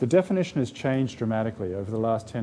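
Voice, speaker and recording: The speech moves at a very fast pace in a dark, mellow tone. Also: man. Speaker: professor of medicine, rheumatologist. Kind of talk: public lecture.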